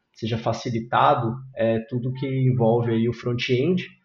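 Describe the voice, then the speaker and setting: A man at a medium pitch, moderate pace and monotone, flat intonation. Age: 30s. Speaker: software engineering manager. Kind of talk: casual interview chat.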